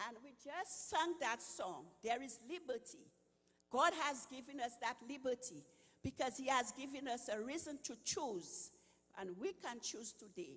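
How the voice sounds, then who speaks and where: In a Saint Lucian accent, the speaker goes at a fairly slow pace with lively intonation. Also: woman, high pitch for a woman. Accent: Saint Lucian Caribbean. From Saint Lucia, Caribbean. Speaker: retired health worker, nutrition speaker. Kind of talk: inspirational talk.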